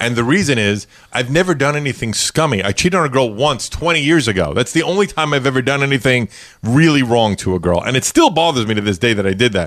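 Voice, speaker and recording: A man with a New York accent speaks at a very fast pace with lively intonation. His pitch is medium and his loudness is very even. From Brooklyn, New York. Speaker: podcast host. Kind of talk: casual interview chat.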